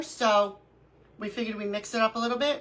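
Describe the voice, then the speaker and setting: With an American accent, a woman talks at a fairly quick pace. Background noise is noticeable. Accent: New York accent, fading slightly. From Brooklyn, New York. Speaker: crafting livestreamer. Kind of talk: live craft tutorial chat. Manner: animated.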